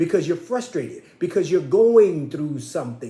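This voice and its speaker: A man's dark, mellow tone with audible room echo. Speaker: minister. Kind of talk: sermon. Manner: pitch rises when passionate; impassioned.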